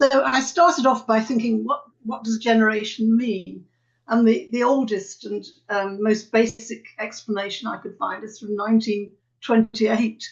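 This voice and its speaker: A somewhat breathy woman with a British accent, fairly high pitch, ordinary pitch variation, big swings in loudness and a moderate pace. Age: 80s+. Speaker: retired academic. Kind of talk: webinar talk. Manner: halting.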